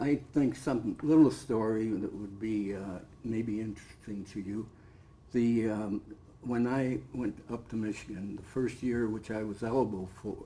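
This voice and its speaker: A man's dark, mellow voice at medium pitch, with fairly even intonation and a moderate pace. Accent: American. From Cleveland, Ohio. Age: 80s+. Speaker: former football player. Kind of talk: interview.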